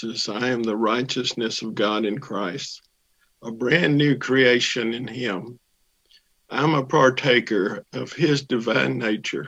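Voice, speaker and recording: The man has an ordinary speaking voice at a medium pitch. His pace is fairly slow. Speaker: church member. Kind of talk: testimony.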